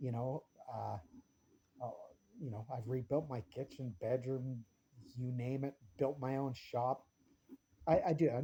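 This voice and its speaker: With a Canadian accent, a man speaks at a fairly slow pace in a fairly high pitch, his tone dark and mellow and somewhat breathy. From small-town British Columbia, Canada. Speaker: vlogger. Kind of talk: casual opinion vlog. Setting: home workshop. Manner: animated; halting, stumbling over words.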